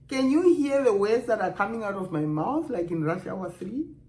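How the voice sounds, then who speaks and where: In a strong Namibian accent, a woman speaks at a fairly high pitch. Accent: Namibian African accent, kept strong. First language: Otjiherero. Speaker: video blogger. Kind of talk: casual vlog monologue. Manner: animated.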